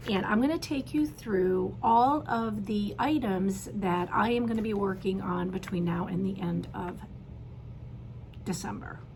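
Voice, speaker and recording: A woman at a medium pitch, fairly slow, with very wide pitch swings and audible room echo. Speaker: cross stitch video host. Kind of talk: casual show-and-tell chat. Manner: hesitant, many fillers.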